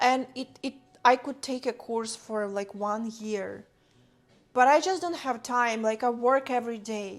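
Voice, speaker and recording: A woman speaks at a fairly slow pace. She has a non-native accent. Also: fairly high pitch for a woman, ordinary pitch variation. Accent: noticeable foreign. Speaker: streamer and content creator. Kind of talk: casual livestream chat while cooking. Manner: mumbling.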